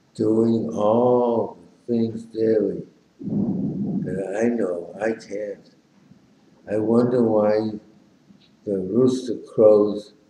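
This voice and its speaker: A man talks very slowly with fairly even intonation, with audible room echo and light background noise. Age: 90s. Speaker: amateur poet. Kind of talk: poetry reading. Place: home room. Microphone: webcam.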